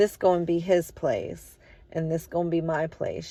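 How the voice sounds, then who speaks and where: A woman puts on a raspy character voice at a fairly low pitch. She speaks at a moderate pace. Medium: read story. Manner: homely, insistent.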